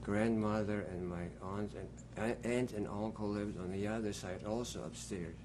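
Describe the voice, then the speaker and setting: There is audible room echo around a man's fairly low voice. He speaks at a fairly slow pace in a dark, mellow tone. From Poland. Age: 60s. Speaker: Holocaust survivor. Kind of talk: testimony. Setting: at home.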